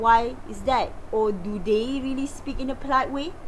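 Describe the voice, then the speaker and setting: A woman with a Malaysian accent speaks at a fairly slow pace in a high voice. There is audible room echo and noticeable background noise. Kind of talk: lecture. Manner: halting.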